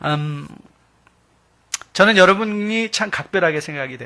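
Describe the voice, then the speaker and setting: A man talks in a bright, sharp tone. The background is quiet. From South Korea, Gyeonggi Bucheon. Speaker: visiting pastor. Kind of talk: sermon.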